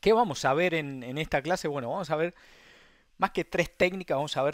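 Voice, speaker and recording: This man's voice sits at a fairly high pitch. The sound is dry and close, with no echo. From Argentina, Mendoza. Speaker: sim racing instructor. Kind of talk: online masterclass lecture. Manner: halting, many repetitions.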